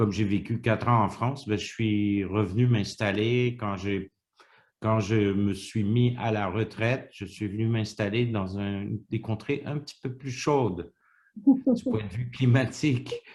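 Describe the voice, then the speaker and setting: A man with a Quebec accent speaks very slowly in a fairly low, somewhat breathy voice. His intonation is fairly even, and the background is quiet. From Quebec, Montreal. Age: 60s. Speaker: retiree interviewee. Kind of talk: interview. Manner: halting.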